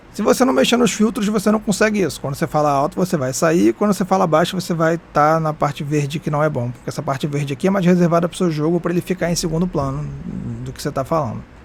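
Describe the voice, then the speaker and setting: With lively intonation, a man speaks very fast in a fairly high voice against noticeable background noise. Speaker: streamer and tutorial youtuber. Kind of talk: tutorial. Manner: casual.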